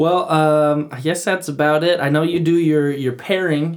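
Speaking at a moderate pace, this man has a plain, everyday voice and a fairly high pitch. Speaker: podcast co-host. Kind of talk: casual interview chat.

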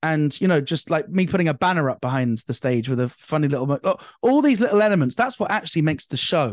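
In a dry, close recording with no echo and a quiet background, a man talks at a very fast pace with hardly any pauses, a fairly high pitch, very wide pitch swings and an energetic tone. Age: 30s. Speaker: stand-up comedian. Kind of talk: casual chat.

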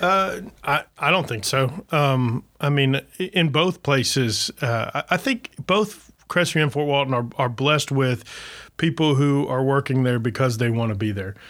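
In a very clean recording with a silent background, a man with an American accent and an unremarkable speaking voice talks at a fairly slow pace, his fairly high pitch moving in lively intonation. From US South, Florida Panhandle. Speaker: city manager. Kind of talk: casual chat.

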